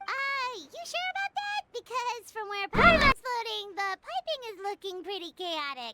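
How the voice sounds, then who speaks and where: Squeaky and extremely high-pitched, this put-on character voice moves at a moderate pace with hardly any pauses. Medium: fan dub. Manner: chatty, frank.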